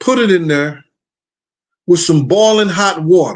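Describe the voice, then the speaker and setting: Lively intonation marks a man's high-pitched voice. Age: 60s. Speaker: hip-hop talk show host. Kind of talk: casual monologue.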